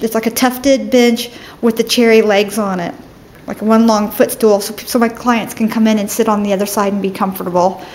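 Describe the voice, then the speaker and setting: The intonation stays fairly even while the speech keeps a moderate pace. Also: woman. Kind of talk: casual tour narration. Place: office. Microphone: phone near.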